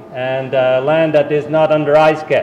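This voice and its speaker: The man's speech comes very slowly amid noticeable background noise. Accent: Dutch. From Netherlands. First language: Dutch. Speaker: university soil management specialist. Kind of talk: talk to farmers at a winter meeting.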